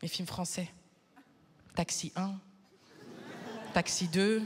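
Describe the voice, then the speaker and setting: The tone is animated. The voice is somewhat breathy. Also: woman. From Flanders, Belgium. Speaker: stand-up comedian. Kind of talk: stand-up. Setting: stage with audience.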